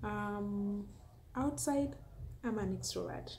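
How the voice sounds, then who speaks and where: Speaking at a very slow pace with a Kenyan accent, a woman is heard over light background noise. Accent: Kenyan (Luo) English. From Kenya, Homa Bay County. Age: 20s. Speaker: food and lifestyle YouTuber, teacher. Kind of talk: casual vlog Q&A monologue. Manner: hesitant, many fillers. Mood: cheerful, smiling. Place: home room. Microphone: phone near.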